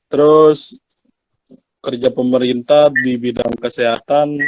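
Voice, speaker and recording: Speaking very slowly, a man with a medium pitch keeps a monotone, flat intonation. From Jakarta area, Betawi. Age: 20s. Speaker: university student. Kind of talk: class self-introduction.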